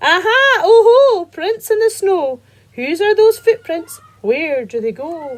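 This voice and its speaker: A woman uses a put-on character voice at an extremely high pitch. She speaks at a fairly slow pace with very wide pitch swings. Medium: read story.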